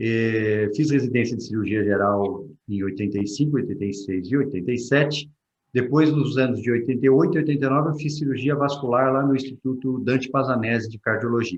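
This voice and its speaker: Talking at a fairly quick pace, a man uses an ordinary speaking voice with a medium pitch and ordinary pitch variation. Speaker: vascular surgeon. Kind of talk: Q&A talk.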